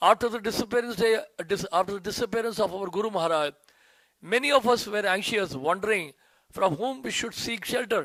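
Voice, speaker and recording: A man's high, bright, sharp voice in an Indian accent, at a very fast pace with ordinary pitch variation. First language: Hindi. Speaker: disciple, youth preacher. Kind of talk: reading aloud a tribute; devotional speech.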